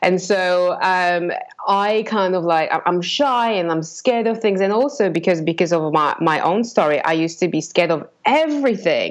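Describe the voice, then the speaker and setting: A woman keeps a moderate pace with hardly any pauses. Her intonation is lively, and her loudness stays very even. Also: medium pitch for a woman. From Poland. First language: Polish. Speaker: business owner and coach. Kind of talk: interview.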